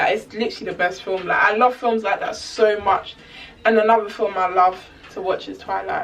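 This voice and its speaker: A woman's fairly high voice at a moderate pace, with noticeable background noise. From Germany, Ghanaian family. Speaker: YouTuber. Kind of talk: casual Q&A vlog. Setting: talking to camera. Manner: animated, rambling.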